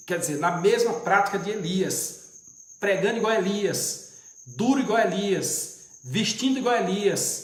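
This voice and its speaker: A man's high voice, with ordinary pitch variation, is heard through audible room echo and noticeable background noise. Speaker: deacon, preacher. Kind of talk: livestream bible teaching. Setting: live stream.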